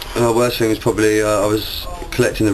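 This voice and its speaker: This man speaks very fast at a fairly low pitch, with noticeable background noise behind him. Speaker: recovering gambling addict. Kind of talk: interview answer. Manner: casual, hesitant.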